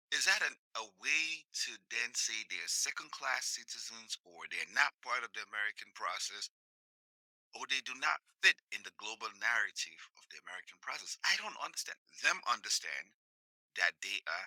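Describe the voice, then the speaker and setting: Recorded with a dry, close sound and no echo, a man with an African accent speaks at a moderate pace with big swings in loudness. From sub-Saharan Africa. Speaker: podcast host. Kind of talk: monologue commentary.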